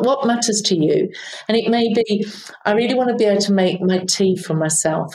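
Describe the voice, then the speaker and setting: A woman with a British accent, fairly quick pace and ordinary pitch variation. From United Kingdom. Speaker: aged care executive and nurse. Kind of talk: casual interview conversation.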